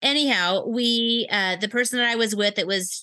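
A woman speaks with an American accent in a bright, sharp tone at fairly high pitch. Her pace is moderate, her pitch varies normally, and the background is quiet. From Wisconsin. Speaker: nurse practitioner. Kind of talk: interview.

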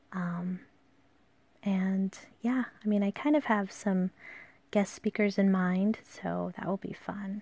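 The voice is somewhat breathy with a dark, mellow tone and fairly even intonation. It moves at a very slow pace, broken by long, frequent pauses. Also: woman, medium pitch for a woman. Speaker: podcast host and calligraphy artist. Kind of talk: casual solo monologue. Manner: hesitant, many fillers.

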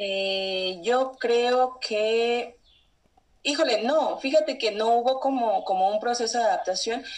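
Very slow delivery from a woman, her pitch fairly high and its variation ordinary. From Mexico. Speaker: traveler. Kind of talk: interview.

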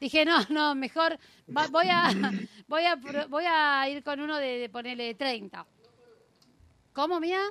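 Speaking in an Argentine accent, a woman with a high pitch and a bright, sharp tone projects her raised voice at a very slow pace with ordinary pitch variation. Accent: Rioplatense Argentine Spanish. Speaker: radio show host. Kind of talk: casual chat. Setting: radio studio. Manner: animated.

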